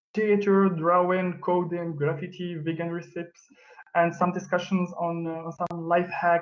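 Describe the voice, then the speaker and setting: This man speaks in a French accent with a high pitch. His intonation is monotone and flat. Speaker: arts collective member presenting. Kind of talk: online presentation. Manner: halting, many fillers.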